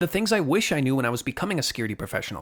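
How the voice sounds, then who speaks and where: Very fast and enthusiastic, the voice carries lively intonation with a Canadian accent. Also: man. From Canada. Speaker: cybersecurity instructor. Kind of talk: online course lecture.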